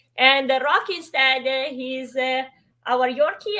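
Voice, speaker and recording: A woman speaks with an Italian accent at a fairly slow pace. Her voice is high-pitched. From Italy. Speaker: travel YouTuber. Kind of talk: interview chat.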